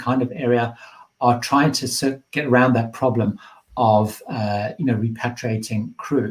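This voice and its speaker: A man speaks at medium pitch in a somewhat breathy voice. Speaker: cruise travel youtuber. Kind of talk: live Q&A stream. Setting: livestream. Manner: fast.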